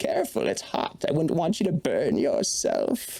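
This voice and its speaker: The man puts on a character voice and keeps to a moderate speed. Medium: actual play. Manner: slow, sly, falsely kind.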